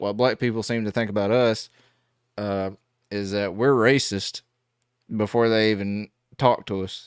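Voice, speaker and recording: In a strong Southern US accent, a man with a fairly low pitch speaks at a fairly slow pace with monotone, flat intonation, the sound dry and close with no echo on a very clean recording with a silent background. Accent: heavy Southern US. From US South. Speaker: gospel musician reacting to music. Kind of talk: casual reaction commentary. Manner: halting, many fillers.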